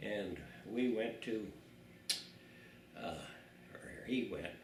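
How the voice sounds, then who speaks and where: There is noticeable background noise as a man with an American accent talks at a very slow pace. His intonation is fairly even. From South Dakota, USA. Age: 80s+. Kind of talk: interview answer. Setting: home. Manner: casual, rambling storytelling.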